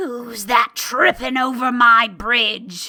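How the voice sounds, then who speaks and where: Growling in a put-on character voice, the speaker goes at a very slow pace over faint background music. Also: woman. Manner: roaring, gruff.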